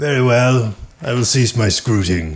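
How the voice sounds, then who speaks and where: Someone talks in a put-on character voice at a moderate pace. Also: man, medium pitch for a man. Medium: actual play. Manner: stilted, formal, deadpan.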